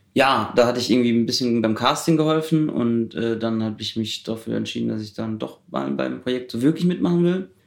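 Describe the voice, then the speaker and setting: In an ordinary speaking voice, a man with a medium pitch talks at a fairly quick pace with lively intonation and hardly any pauses. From Germany, Heidelberg. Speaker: student filmmaker. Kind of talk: casual interview.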